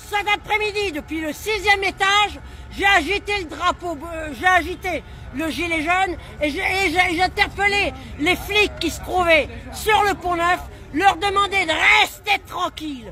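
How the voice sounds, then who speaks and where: Over crowd noise in the background, a woman speaks in a raised, projected voice at an extremely high pitch, fairly slowly, with an animated tone and ordinary pitch variation. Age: 60s. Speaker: protester. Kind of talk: impromptu street speech. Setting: outdoors at a street protest. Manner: animated, indignant.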